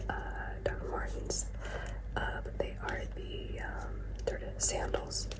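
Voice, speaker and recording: Whispering and soft-spoken, the voice moves at a very slow pace against noticeable background noise. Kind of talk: casual talk to camera, ASMR show-and-tell. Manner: whispered, soft-spoken.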